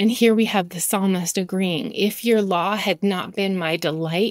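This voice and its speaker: A woman with a normal speaking voice talks at a moderate pace, her pitch medium and her intonation fairly even. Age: 40s. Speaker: podcast host, Bible teacher. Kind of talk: devotional podcast monologue.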